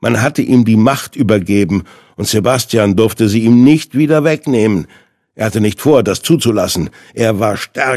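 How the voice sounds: With nothing heard behind it, a natural reading voice comes through.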